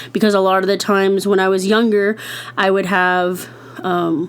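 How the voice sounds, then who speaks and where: Her voice sits at a medium pitch for a woman. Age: 20s. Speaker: podcast host. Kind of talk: casual podcast talk. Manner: easy-going.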